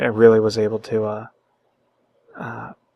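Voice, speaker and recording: A man speaks quietly. His pace is moderate. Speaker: philosophy vlogger. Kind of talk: casual monologue. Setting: at home late at night. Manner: halting, many fillers and repetitions.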